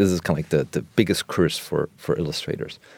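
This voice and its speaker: In a German accent, a man talks at a very fast pace. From West Germany. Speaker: illustrator. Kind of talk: interview conversation. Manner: halting.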